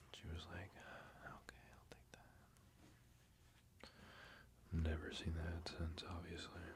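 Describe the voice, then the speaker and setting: Someone whispers at a very slow pace. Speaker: ASMR creator. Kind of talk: ASMR soft-spoken show and tell. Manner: soft-spoken.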